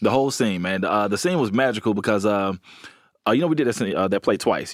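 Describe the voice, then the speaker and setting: A man talks at a very fast pace in an animated tone, his pitch fairly low. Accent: Alabama. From Alabama. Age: 30s. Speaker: comedian. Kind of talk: casual chat.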